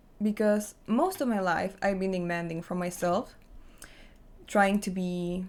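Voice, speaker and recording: A woman speaks with a non-native accent at a fairly slow pace. The recording is very clean, with a silent background. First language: not English. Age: 20s. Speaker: lifestyle vlogger. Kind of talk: personal vlog monologue.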